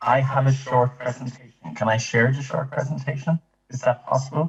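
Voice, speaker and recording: A man speaks with an Irish accent at a medium pitch. His pace is moderate. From Ireland. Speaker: privacy coordinator. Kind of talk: panel talk. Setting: video call. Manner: halting.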